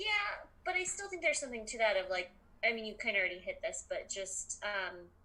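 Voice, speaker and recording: A woman with an American accent speaks fairly quickly while noticeable noise runs in the background. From Colorado. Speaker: comedian, podcast guest. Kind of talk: casual chat. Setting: video call. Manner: hesitant, many fillers.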